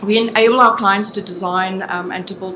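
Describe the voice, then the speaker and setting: A woman with a South African accent speaks at a medium pitch with fairly even intonation. The recording has audible room echo and noticeable background noise. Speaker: business consultant. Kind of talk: conference presentation.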